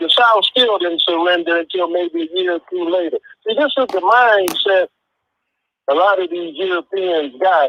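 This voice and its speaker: With a high pitch and ordinary variation, a man speaks at a moderate pace. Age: 60s. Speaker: caller. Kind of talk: casual chat.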